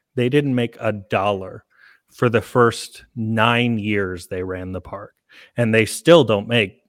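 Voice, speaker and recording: In a very clean recording with a silent background and a dry, close sound with no echo, a man speaks at a very slow pace in a medium pitch. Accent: American. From Oklahoma. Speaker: theme park marketing director. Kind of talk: casual interview.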